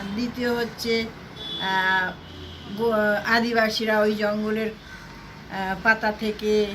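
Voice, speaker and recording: Noticeable background noise sits behind a woman's voice. Her medium pitch stays monotone and flat. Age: 70s. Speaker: housewife. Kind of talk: interview answer.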